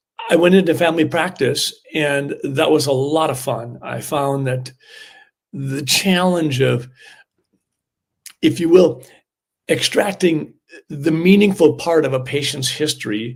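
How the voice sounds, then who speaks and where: With an American accent, a man speaks at a fairly slow pace, leaving long, frequent pauses. His voice is somewhat breathy, with a fairly high pitch and ordinary pitch variation. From US Midwest, southern Minnesota. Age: 60s. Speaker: family doctor and former state senator. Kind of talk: interview.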